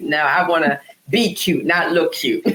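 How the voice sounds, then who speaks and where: A woman's voice comes through noticeable noise in the background. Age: 60s. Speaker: wellness entrepreneur. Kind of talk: casual interview chat.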